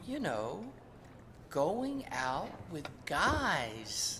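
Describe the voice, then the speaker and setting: Someone talks in a put-on character voice. Clear background noise can be heard. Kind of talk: comic stage acting. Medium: stage play.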